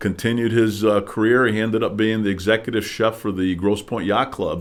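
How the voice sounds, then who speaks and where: A man with a Midwestern US accent talks at a fairly quick pace and fairly low pitch. His intonation is monotone and flat. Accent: US Midwest. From Detroit suburbs, Michigan. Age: 60s. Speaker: political candidate. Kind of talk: interview. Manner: hesitant with many fillers.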